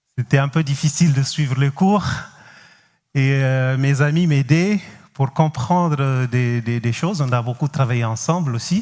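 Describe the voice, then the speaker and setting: A man's fairly high voice in a Cape Verdean accent, with ordinary pitch variation and a fairly slow pace. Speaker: pastor. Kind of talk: sermon. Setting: church. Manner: halting, frequent hesitations.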